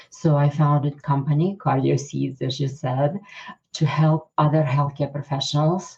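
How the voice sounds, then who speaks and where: A woman's very deep, low voice, monotone and flat, at a moderate pace. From Ukraine. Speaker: cardiologist. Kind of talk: interview. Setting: podcast. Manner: hesitant, many fillers.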